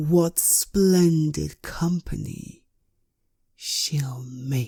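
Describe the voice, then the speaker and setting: Using a put-on character voice, a woman speaks very deep and low. Her pace is very slow. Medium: read story. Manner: grand, aloof.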